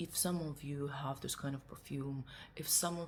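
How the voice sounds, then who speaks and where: A woman with a non-native accent speaks in a somewhat breathy voice with monotone, flat intonation. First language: not English. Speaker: perfume reviewer. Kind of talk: product review. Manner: halting.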